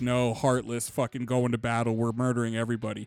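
Putting on a gruff, rumbling character voice, a man talks very fast at a medium pitch, with monotone, flat intonation. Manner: cold, aggressive.

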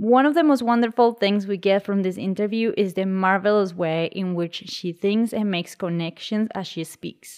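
This woman has an ordinary speaking voice, medium in pitch with ordinary pitch variation, delivered at a moderate pace with hardly any pauses. The recording is very clean, with a silent background. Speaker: podcast host. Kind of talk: casual interview chat.

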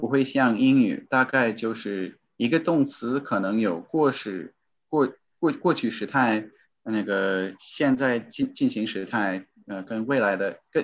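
A man with an English accent talks at a very slow pace, his pitch swinging very widely, against a quiet background. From US. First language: English (speaking Chinese). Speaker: voice-over recorder, former Chinese learner. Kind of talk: interview. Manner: halting, many fillers.

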